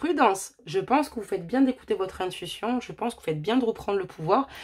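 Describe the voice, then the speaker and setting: A woman's very fast speech with lively intonation. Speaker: tarot card reader. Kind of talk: tarot reading. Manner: loud.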